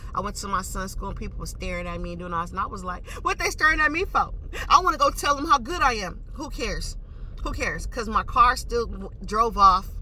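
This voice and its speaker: A woman talks at a fairly quick pace, her loudness swinging widely. Noticeable background noise runs underneath. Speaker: vlogger. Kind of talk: casual storytelling monologue. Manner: fast.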